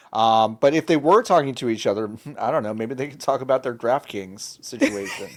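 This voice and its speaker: Lively intonation marks this man's unremarkable speaking voice, pitched medium and delivered at a moderate pace on a very clean recording with a silent background. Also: big swings in loudness. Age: 40s. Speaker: video game podcast host. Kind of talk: casual chat.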